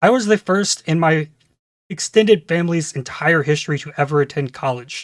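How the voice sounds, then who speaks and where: A man speaks in an American accent with an ordinary speaking voice, fairly high in pitch with ordinary pitch variation, at a fairly quick pace. The recording is very clean with a silent background and a dry, close sound with no echo. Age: 30s. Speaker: gaming YouTuber. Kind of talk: scripted channel introduction.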